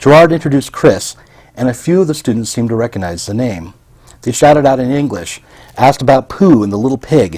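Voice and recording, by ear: Someone reads aloud, using a natural voice.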